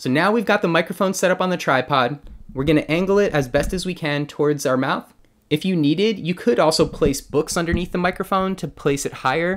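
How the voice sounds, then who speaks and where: At a fairly quick pace, a man talks in a high pitch with ordinary pitch variation. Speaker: tech tutorial host. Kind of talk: tutorial. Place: home room. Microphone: studio mic.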